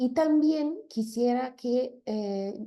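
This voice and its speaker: With a non-native accent, a woman speaks in a dark, mellow tone with ordinary pitch variation. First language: not Spanish (speaking Spanish). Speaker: linguist. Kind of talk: lecture. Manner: halting, many fillers.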